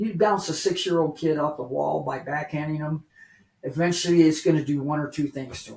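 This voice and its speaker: A somewhat breathy male voice, fairly high in pitch. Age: 60s. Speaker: recovering addict. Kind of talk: testimony.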